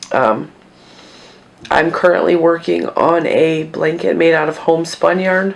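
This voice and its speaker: A woman speaks over noticeable background noise. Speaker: yarn crafting vlogger. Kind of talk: casual chat. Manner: conversational, chatty.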